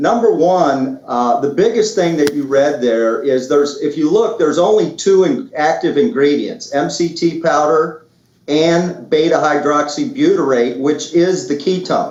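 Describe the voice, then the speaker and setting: A man with a fairly high pitch talks at a fairly slow pace with hardly any pauses and very even loudness. His intonation is lively, and the room echo is audible. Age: 60s. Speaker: product promoter. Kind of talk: sales pitch.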